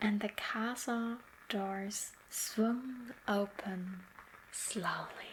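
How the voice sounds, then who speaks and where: A woman speaks at a very slow pace in a fairly high pitch. Her voice is somewhat breathy, with fairly even intonation. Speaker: ASMR artist. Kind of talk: sleep story. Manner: soft-spoken, slow.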